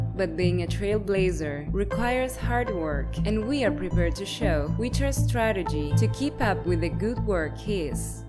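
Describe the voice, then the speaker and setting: A woman at a fairly slow pace with hardly any pauses and very even loudness, music in the background. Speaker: voice actor / voice-over artist. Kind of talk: corporate narration, pharmaceutical presentation.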